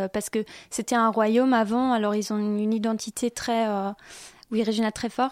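In a German accent, a woman speaks at a fairly quick pace with long, frequent pauses, her fairly high voice flat and monotone, the sound dry and close with no echo. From western Germany, Viersen (Rhineland). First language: German (speaking French). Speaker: exchange student. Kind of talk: radio interview. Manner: hesitant, many fillers.

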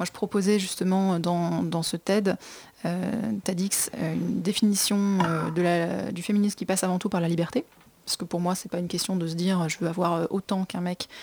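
Flat and monotone, a woman's voice moves along at a moderate pace. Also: medium pitch for a woman. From Brittany, France. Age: 20s. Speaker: fashion entrepreneur. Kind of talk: radio interview. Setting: studio.

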